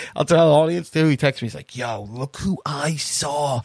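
Recorded very cleanly against a silent background, with a dry, close sound and no echo, a man speaks in a normal speaking voice at a fairly high pitch with ordinary pitch variation. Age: 30s. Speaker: podcast co-host. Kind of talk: casual chat.

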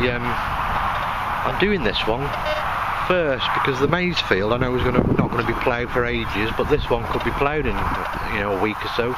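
Loud background noise surrounds a man's voice, which has ordinary pitch variation. The sound is dry with no echo. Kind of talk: casual vlog chat. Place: open country. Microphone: phone near.

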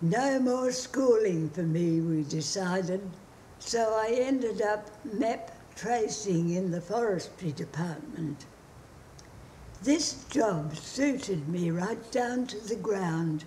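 A woman with an Australian accent speaks at a very slow pace. Her intonation is lively, with light background noise. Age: 80s+. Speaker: mother reciting her poem. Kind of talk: poetry reading. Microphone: phone near.

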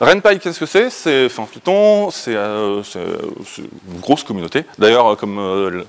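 A man's clear, smooth, medium-pitched voice, fairly slow, with lively intonation

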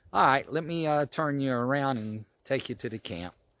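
At a moderate pace, a man talks with ordinary pitch variation in a dry recording with no echo. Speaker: motorcycle camper vlogger. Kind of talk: casual vlog chat. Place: forest. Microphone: phone near.

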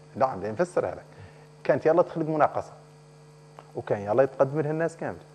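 A man talks at a fairly quick pace with a fairly high pitch and ordinary pitch variation, leaving long, frequent pauses. Background noise is noticeable. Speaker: member of parliament. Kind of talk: TV political interview.

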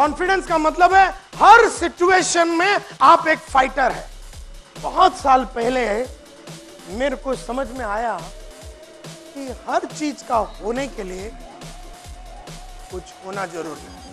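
Over faint music in the background, a man projects a raised voice at an extremely high pitch with very wide pitch swings and big swings in loudness. He talks at a very slow pace, with long, frequent pauses. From India. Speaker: motivational speaker. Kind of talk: motivational seminar talk. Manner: fiery. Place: hall. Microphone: lapel.

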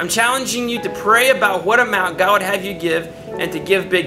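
A man speaks in a raised, projected voice. Music is clearly heard in the background. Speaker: pastor. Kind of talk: church appeal to the congregation. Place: studio.

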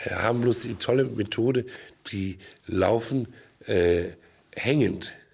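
A somewhat breathy male voice with ordinary pitch variation, at a very slow pace. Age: old. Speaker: actor and film producer; actor. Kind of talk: comedic TV interview. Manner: halting. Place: studio. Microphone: studio mic.

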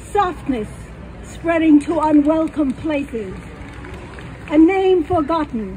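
With crowd noise behind her, a woman speaks at a very slow pace in a high pitch with lively intonation. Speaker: poet. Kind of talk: poem reading, reflective. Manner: slow, measured, wistful. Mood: wry, humorous. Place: stage.

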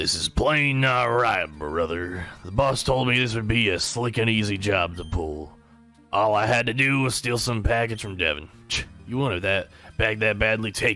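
A man does a put-on character voice in a Southern US accent, raspy and at medium pitch. He moves at a moderate pace with ordinary pitch variation, and faint music plays in the background. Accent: Southern drawl. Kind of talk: reading game dialogue in character voice. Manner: complaining, frustrated.

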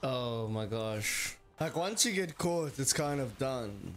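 Faint music plays in the background. Over it, a man speaks with ordinary pitch variation. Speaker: reaction streamer. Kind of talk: casual reaction commentary. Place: home room.

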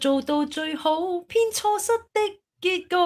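Very wide pitch swings over a quiet background. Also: woman. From Hong Kong. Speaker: talk show co-host. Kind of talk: casual chat. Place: home room. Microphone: studio mic.

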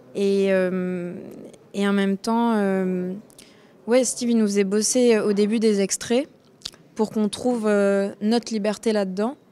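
A woman talks at a very slow pace and a medium pitch, leaving long, frequent pauses. Her intonation stays fairly even. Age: 20s. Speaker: actress. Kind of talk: interview. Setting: film festival. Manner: hesitant.

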